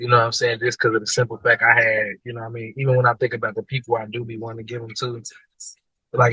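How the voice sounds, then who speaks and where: Over a dry, close sound with no echo, a man with an American accent talks very fast at a medium pitch in a monotone, flat manner. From Kansas City, Missouri. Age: 20s. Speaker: rapper, single father. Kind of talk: interview. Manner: casual, halting with many fillers.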